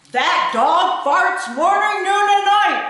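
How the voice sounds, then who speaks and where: A put-on character voice speaks at an extremely high pitch and a very slow pace. Strong echo fills the sound. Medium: read story. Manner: gruff, stern.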